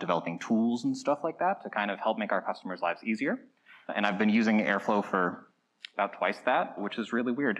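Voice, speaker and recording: At a fairly quick pace, a man is talking. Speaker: conference presenter. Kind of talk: lecture. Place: hall.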